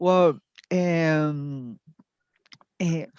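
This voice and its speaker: A woman speaks with a Latin American accent in a fairly low voice. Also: dry, close sound with no echo. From Venezuela (Táchira State, near Colombia), from age eleven; born in Chile. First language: Spanish. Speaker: dance teacher and meditation teacher. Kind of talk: live interview. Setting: video call from Chile. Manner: halting, many fillers.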